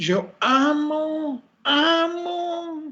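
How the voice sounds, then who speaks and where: A put-on character voice at a high pitch. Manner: affected, fake-sounding.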